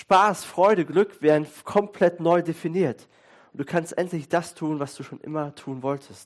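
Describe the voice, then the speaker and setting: Speaking at a fairly slow pace, a man uses a high pitch with ordinary pitch variation, an animated, warm tone and big swings in loudness. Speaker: pastor. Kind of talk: sermon. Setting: church with congregation. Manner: conversational, fluent, with hesitations like "äh" and "ähm".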